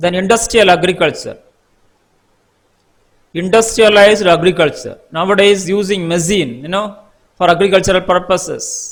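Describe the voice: A man speaks at a fairly slow pace. His high-pitched voice has a fairly bright tone.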